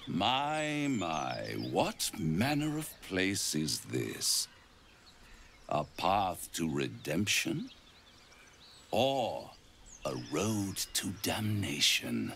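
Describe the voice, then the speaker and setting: Over clear background noise, a put-on character voice unfolds at a very slow pace with long, frequent pauses. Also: man, fairly low pitch for a man. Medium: video game. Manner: silky, theatrical, mocking.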